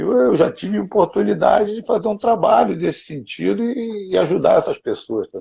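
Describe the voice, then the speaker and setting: Hardly any pauses break up this moderately paced speech. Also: man. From Rio de Janeiro, Brazil. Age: 60s. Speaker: jiu-jitsu grandmaster. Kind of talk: interview. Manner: animated.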